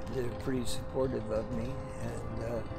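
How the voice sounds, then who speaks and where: Loud music plays in the background while the speech moves at a fairly slow pace. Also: man. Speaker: street artist. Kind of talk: interview answer. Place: street. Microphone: phone near.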